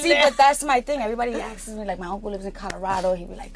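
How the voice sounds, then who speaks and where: Amid noticeable background noise, a woman with a Brooklyn accent speaks very fast at a fairly high pitch, with lively intonation. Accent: New York, Brooklyn. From Brooklyn, New York. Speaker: podcast host. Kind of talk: casual New York slang.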